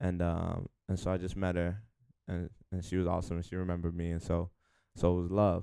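A man with a New York accent speaks very fast yet with long, frequent pauses, his very deep, low voice dark and mellow in tone and flat and monotone in intonation. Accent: New York (Bronx). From New York City, the Bronx (Hunts Point). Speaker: rapper. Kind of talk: interview. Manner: halting, many fillers.

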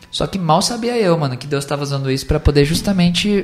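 There is noticeable background noise behind this man. His voice moves in very wide pitch swings. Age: 20s. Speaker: preacher and evangelist. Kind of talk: casual chat. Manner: animated.

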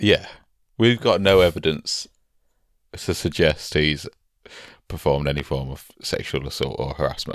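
Very deep, low male voice with vocal fry, moderate pace, ordinary pitch variation and long, frequent pauses. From northern England. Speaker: podcast co-host and musician/comedian. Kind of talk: casual chat. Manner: joking, banter.

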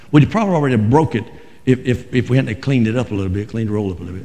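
In a North Carolina accent, a man speaks at a medium pitch with lively intonation. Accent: Southern US (North Carolina). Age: 60s. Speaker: Pentecostal pastor. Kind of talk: fiery Pentecostal Sunday sermon, congregational call-and-response. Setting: church. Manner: impassioned, emphatic preaching with repeated phrases; folksy, halting with frequent 'uh' restarts.

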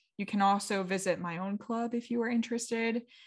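A woman speaks at a medium pitch with ordinary pitch variation and a General American accent, on a very clean recording with a silent background. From United States. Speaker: podcast host. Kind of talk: solo podcast monologue, improvised casual chat. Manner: calm, casual.

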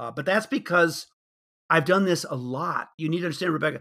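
Speaking fairly quickly, a man has a bright, sharp tone with vocal fry and ordinary pitch variation. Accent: American. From US Midwest, Chicago suburbs. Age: 70s. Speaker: facilitation trainer. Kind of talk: interview.

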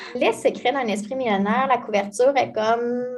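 A woman speaks at a high pitch in a Quebec accent. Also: quiet background. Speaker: financial advisor. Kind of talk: casual interview.

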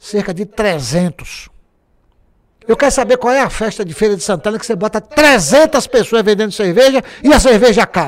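A man talks at a moderate pace in a high pitch. His tone is animated and his intonation lively. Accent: Bahian. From Bahia, Brazil (Alagoinhas). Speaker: journalist and former culture secretary. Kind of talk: casual interview chat. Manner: animated storytelling.

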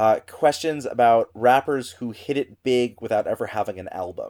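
This man has an unremarkable speaking voice and an American accent, with a medium pitch. He talks at a moderate pace in a dry, close sound with no echo. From US Midwest. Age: 30s. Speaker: theater director and trivia host. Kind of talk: casual chat. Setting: remote recording from home.

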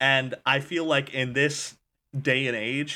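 On a very clean recording with a silent background, a man talks at a fairly slow pace in a bright, sharp tone. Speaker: podcast host. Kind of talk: casual comedic chat.

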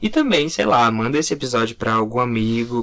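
A man talks in a normal speaking voice at medium pitch and a moderate pace. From Curitiba, Brazil. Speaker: podcast co-host, graphic designer. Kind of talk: casual chat.

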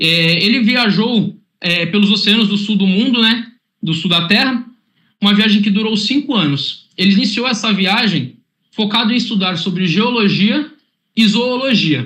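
A man uses a raised, projected voice that is high in pitch with a bright, sharp tone. He keeps a moderate pace, ordinary pitch variation and very even loudness. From Santos, São Paulo coast, Brazil. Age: 20s. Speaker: corporate innovation presenter. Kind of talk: online workshop presentation.

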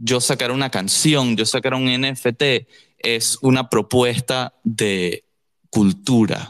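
Medium-pitched male speech, its pitch varying in an ordinary way, in a dry, close sound with no echo. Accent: Venezuelan. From Caracas, Venezuela. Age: 20s. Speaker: musician. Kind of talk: casual chat.

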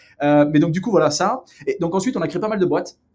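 The speaker is male. He shows ordinary variation in pitch. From southern France, near Marseille and Aix-en-Provence. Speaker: entrepreneur. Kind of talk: casual interview.

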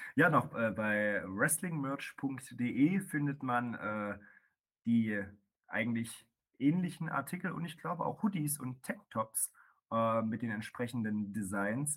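A man's medium-pitched voice moves very slowly, its intonation lively. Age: 20s. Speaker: professional wrestler. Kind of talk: casual chat. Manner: hesitant, many filler sounds.

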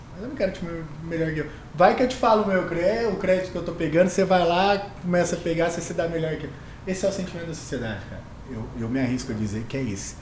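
Speech comes at a very fast pace with lively intonation and big swings in loudness, amid noticeable background noise and audible room echo. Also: man, high pitch for a man. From interior of São Paulo state, Brazil (Mococa). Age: 30s. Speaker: finance executive and male pageant winner. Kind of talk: casual podcast interview.

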